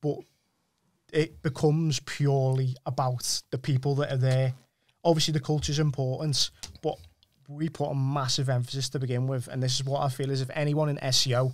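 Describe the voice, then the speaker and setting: A man speaks in a monotone with flat intonation. His voice is fairly high-pitched and somewhat breathy. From Wirral, northwest England. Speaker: SEO agency owner. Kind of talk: podcast interview. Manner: casual, repetitive with restarts.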